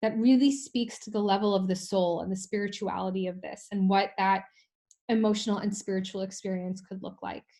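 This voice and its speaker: A woman with a New York accent speaks at a fairly quick pace in a somewhat breathy, dark, mellow tone against a quiet background. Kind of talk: online webinar teaching.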